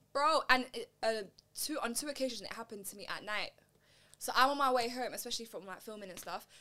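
A woman with a London accent at a very fast pace, broken by long, frequent pauses, high-pitched with a bright, sharp tone, ordinary pitch variation and big swings in loudness. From East London. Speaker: podcast host. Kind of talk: casual chat.

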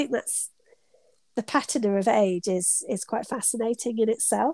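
With a British accent, the voice has a dark, mellow tone and a moderate pace, captured in a dry, close sound with no echo. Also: woman. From UK. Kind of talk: casual interview chat. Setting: remote call from her studio.

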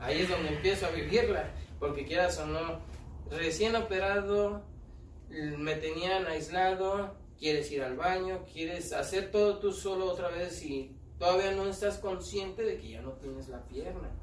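A man talks at a fairly slow pace, with audible room echo and noticeable background noise in the recording. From Mexico City (Tepito). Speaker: street performer, amputee footballer. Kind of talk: casual interview.

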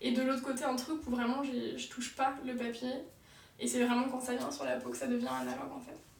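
A woman talks at a fairly quick pace. Audible room echo and noticeable background noise fill the recording. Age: 20s. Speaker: tattoo artist and ceramicist. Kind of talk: casual chat. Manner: fast.

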